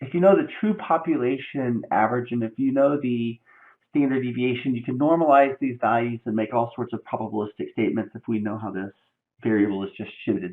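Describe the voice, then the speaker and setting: A man with an ordinary speaking voice at a medium pitch, with lively intonation and a fairly quick pace. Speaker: statistics professor. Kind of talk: lecture.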